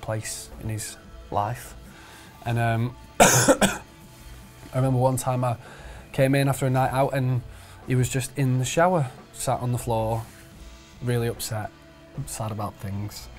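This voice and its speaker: Spoken at a moderate pace with fairly even intonation, the voice has faint music playing in the background. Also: man. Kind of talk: interview answer. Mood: relaxed, laughing at times. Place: home room. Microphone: lapel.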